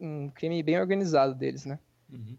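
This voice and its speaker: Against a quiet background, a man talks at a fairly quick pace in a fairly high pitch, with a normal speaking voice. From interior of São Paulo state, Brazil. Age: 20s. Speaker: real estate agent and part-time streamer. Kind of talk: casual podcast interview.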